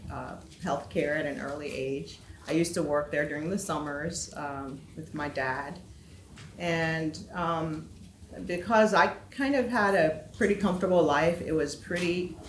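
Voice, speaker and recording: A woman's very deep, low pitch with ordinary pitch variation, in audible room echo. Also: fairly slow pace. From Liberia (Monrovia). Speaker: health equity expert. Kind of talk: panel discussion.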